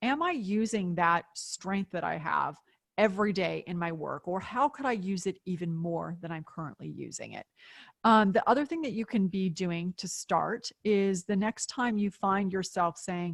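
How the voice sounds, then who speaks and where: A woman with a normal speaking voice and a medium pitch talks at a moderate pace with ordinary pitch variation, in a dry, close recording with no echo. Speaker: author and business thinker. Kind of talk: webinar Q&A.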